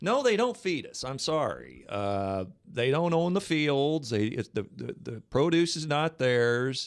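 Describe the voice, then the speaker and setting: A man with lively intonation talks at a fairly slow pace. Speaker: talk radio host. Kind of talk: call-in talk show discussion. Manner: halting.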